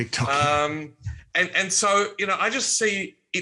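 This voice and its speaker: This man speaks with an Australian accent at a fairly high pitch. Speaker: optimism speaker and former politician. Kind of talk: casual interview.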